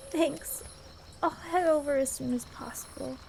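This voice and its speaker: Using a put-on character voice, a woman speaks at a moderate pace over clear background noise. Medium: audio drama. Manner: soft, caring.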